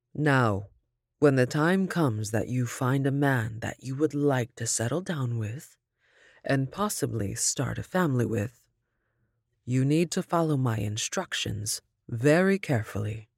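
A woman speaks at a very deep, low pitch in a stern tone, her intonation lively. The sound is dry and close with no echo, and the recording is very clean against a silent background. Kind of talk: reading a letter aloud within a horror story. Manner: stern, instructive tone of an old grandmother.

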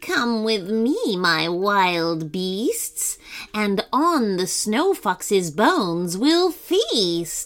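A put-on character voice at a very slow pace, with faint music in the background. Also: woman, medium pitch for a woman. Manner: menacing.

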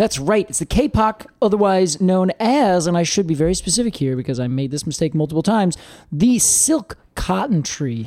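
Hardly any pauses break the speech. The pace stays moderate. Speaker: podcast co-host. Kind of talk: casual chat.

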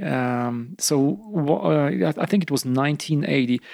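A man speaks at medium pitch with a Polish accent and ordinary pitch variation. The recording is very clean with a silent background and a dry, close sound with no echo. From eastern Poland. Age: 50s. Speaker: rock climber. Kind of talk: casual chat. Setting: at home after dinner.

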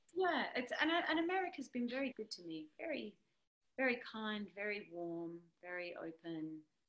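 The woman's pitch sits fairly high and swings very widely. She speaks at a moderate pace. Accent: Australian. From Australia (Sydney). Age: 30s. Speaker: singer-songwriter. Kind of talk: casual interview.

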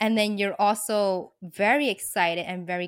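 Here a woman speaks in an unremarkable speaking voice at a medium pitch. Her pace is fairly slow. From US, New York City. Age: 30s. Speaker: author and lifestyle blogger. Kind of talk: casual interview.

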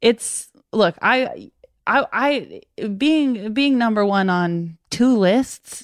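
Her voice is fairly high, and this woman speaks at a very slow pace with lively intonation. The recording is very clean, with a silent background. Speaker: comedian. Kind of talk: casual chat. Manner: animated.

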